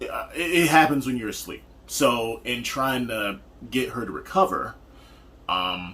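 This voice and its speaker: With noticeable background noise behind him, a man talks at a fairly slow pace with long, frequent pauses, his medium-pitched voice showing lively intonation. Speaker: partner of a type one diabetic. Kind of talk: casual chat.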